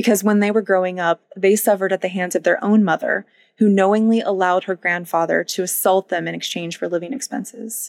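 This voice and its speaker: A woman's plain, everyday voice, medium in pitch with ordinary variation, at a fairly quick pace, in a dry, close sound with no echo. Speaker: true crime podcaster. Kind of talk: true-crime narration, scripted. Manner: serious, measured narrator; conversational, warm with listeners.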